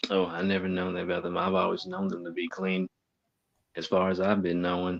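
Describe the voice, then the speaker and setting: A man with a Southern US accent, a very deep, low pitch, monotone, flat intonation and a fairly quick pace. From US South. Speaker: guest panelist. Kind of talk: casual chat.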